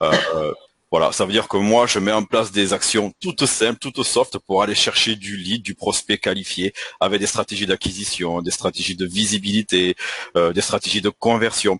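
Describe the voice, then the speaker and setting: A man with a bright, sharp tone and a fairly low pitch speaks at a moderate pace with fairly even intonation, in a dry, close sound with no echo. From southwestern France, Toulouse. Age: 40s. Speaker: marketing coach. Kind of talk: online panel discussion.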